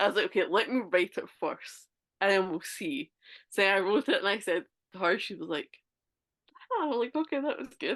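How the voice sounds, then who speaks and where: The intonation is lively, the pace moderate, with long, frequent pauses. The sound is dry and close, with no echo. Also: woman, medium pitch for a woman. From Scotland. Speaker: author. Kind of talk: casual chat.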